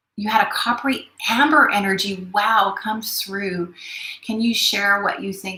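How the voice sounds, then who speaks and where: Noticeable background noise runs under the recording. A woman speaks at a medium pitch with ordinary pitch variation. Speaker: spiritual teacher. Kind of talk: live webinar talk. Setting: live stream from studio. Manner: fast; hesitant with many fillers.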